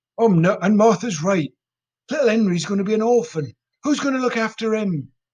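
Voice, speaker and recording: A man does a gruff, put-on character voice, pitched high and delivered at a fairly quick pace. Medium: read story. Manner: blunt.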